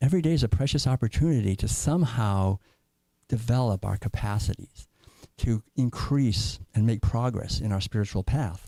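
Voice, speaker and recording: With an American accent, a man speaks at medium pitch and a moderate pace, his intonation lively and his tone dark and mellow, somewhat breathy, in a dry, close sound with no echo. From Massachusetts (Concord). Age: 70s. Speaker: guest speaker at a church. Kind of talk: sermon. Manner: halting.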